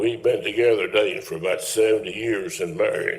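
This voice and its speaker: A man speaks with audible room echo. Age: 80s+. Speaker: resident speaking at public comment. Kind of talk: public comment at town meeting. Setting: town council meeting. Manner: rambling, folksy.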